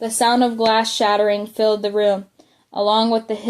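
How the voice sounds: The background is quiet behind a natural reading voice.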